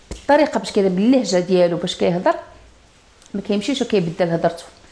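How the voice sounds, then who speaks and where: A woman speaks at a moderate pace with lively intonation and an animated tone. Noticeable background noise runs underneath. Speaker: online news commentator. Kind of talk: polemical video commentary.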